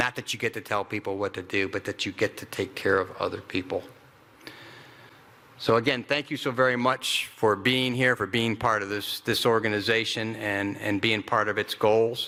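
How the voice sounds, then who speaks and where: With a bright, sharp tone and fairly low pitch, a man speaks at a moderate pace with fairly even intonation. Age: 60s. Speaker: retired army ranger, veterans nonprofit director. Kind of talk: keynote speech. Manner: halting, repetitive.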